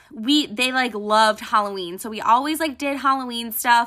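With an American accent, a woman speaks at a high pitch in a bright, sharp, animated tone. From Buffalo, New York. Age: 30s. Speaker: podcast host. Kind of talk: casual monologue rant.

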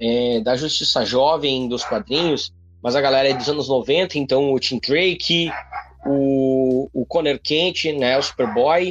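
A man with a fairly high voice speaks very slowly, with ordinary pitch variation over noticeable background noise. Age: 30s. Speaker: comics podcast host. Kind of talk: solo commentary. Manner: halting.

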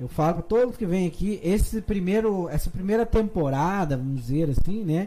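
Hardly pausing at all, a man talks in a high pitch with a dark, mellow tone. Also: moderate pace. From Curitiba, Brazil. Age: 30s. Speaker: podcast host. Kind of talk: casual interview chat.

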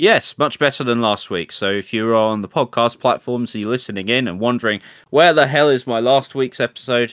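A man with a British accent speaks with hardly any pauses and ordinary pitch variation. The sound is dry and close, with no echo. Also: medium pitch for a man, fairly quick pace. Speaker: podcast co-host and streamer. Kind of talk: casual chat. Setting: live stream studio.

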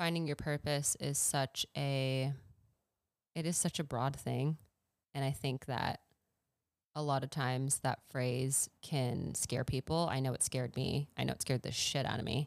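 The speech moves at a fairly slow pace with monotone, flat intonation. The recording is very clean, with a silent background and a dry, close sound with no echo. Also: woman, very deep, low pitch for a woman. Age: 30s. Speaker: podcast host and social media content creator. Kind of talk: casual chat. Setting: home living room.

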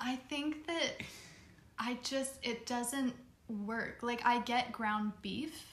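Amid noticeable background noise, a woman speaks very slowly in a high voice with fairly even intonation and long, frequent pauses. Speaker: podcast co-host. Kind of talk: casual chat.

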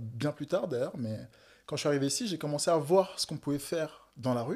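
Recorded very cleanly against a silent background, a man with a normal speaking voice talks at a fairly quick pace in a fairly high pitch with ordinary pitch variation. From West Africa (Togo/Benin). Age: 20s. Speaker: painter. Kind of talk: casual chat.

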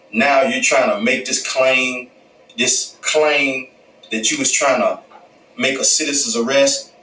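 Speaking fairly slowly, a man is heard against noticeable background noise. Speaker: podcast commentator. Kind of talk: casual commentary monologue.

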